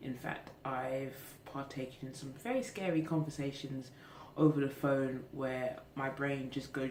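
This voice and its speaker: With a British accent, a woman speaks at a fairly slow pace in a very deep, low pitch, amid noticeable background noise and audible room echo. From England. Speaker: vlogger. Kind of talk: casual vlog monologue. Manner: hesitant, many fillers.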